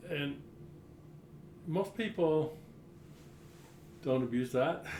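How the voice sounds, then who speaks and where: With an American accent, a man talks very slowly at fairly high pitch with ordinary pitch variation, amid noticeable background noise and audible room echo. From Utah. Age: 60s. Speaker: state legislator. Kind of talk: interview.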